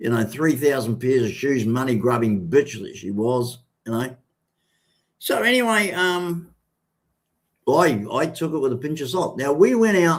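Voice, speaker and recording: A man speaks at a medium pitch and a fairly slow pace. His pitch swings very widely, broken by long, frequent pauses. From New Zealand. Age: 60s. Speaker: vlogger. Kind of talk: casual livestream monologue. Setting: live stream. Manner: halting, many fillers.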